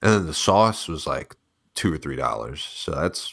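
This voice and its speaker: A man speaks in a very deep, low voice with vocal fry and an American accent. The recording is very clean, with a silent background. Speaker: online troll. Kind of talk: casual banter. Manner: joking, sarcastic, profane.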